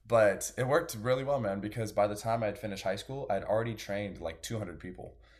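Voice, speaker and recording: Over a very clean recording with a silent background, a man with a fairly low, somewhat breathy voice talks at a very fast pace with hardly any pauses and ordinary pitch variation. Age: 20s. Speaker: personal trainer and natural bodybuilder. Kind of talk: casual chat.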